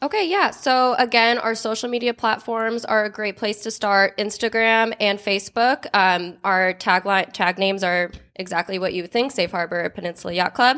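A woman with an American accent talks at a moderate pace in a fairly high, bright, sharp voice with ordinary pitch variation and hardly any pauses. The recording is very clean, with a silent background. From Chicago, Illinois, then US West Coast. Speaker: marketing assistant. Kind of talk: interview.

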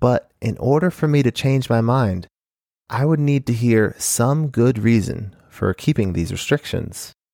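A man's medium-pitched, ordinary speaking voice at a fairly slow pace, with lively intonation, a dry, close sound with no echo, and a very clean, silent background. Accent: American. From Arizona, US (Phoenix). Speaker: podcast host. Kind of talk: solo monologue commentary.

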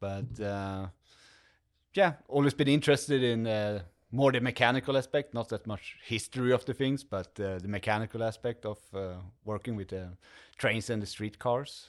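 In a Swedish accent, a man talks at a medium pitch and a moderate pace. The recording is very clean, with a silent background. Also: ordinary pitch variation. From Sweden. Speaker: museum volunteer, streetcar mechanic. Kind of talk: casual interview.

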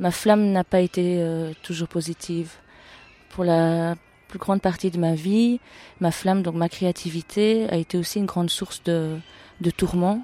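A woman's fairly low voice at a fairly slow pace, with long, frequent pauses, fairly even intonation, and a dry, close sound with no echo. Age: 40s. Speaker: artist and photographer. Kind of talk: interview testimony. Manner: halting with frequent hesitations.

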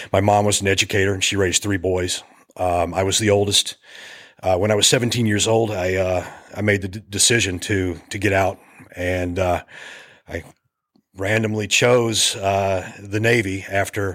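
A man with an American accent speaks at a moderate pace and fairly low pitch, in a monotone, flat intonation, with long, frequent pauses. The recording is very clean, with a silent background. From US Appalachia. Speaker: filmmaker and navy veteran. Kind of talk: casual interview.

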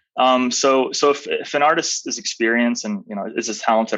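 This man has a plain, everyday voice. He speaks in a medium pitch with ordinary pitch variation. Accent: American. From Arizona, US. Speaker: art marketplace founder. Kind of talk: interview.

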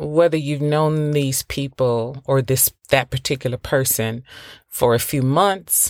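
In a very clean recording with a silent background, a woman speaks with an American accent. Her pitch is very deep and low, and her pace is fairly slow. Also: dry, close sound with no echo. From US South. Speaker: podcast host. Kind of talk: solo podcast monologue.

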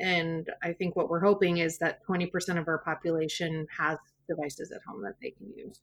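A woman with an American accent and an unremarkable speaking voice, fairly low in pitch, at a fairly quick pace, with ordinary pitch variation and big swings in loudness. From US Pacific Northwest (central Washington). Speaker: middle school teacher. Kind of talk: interview.

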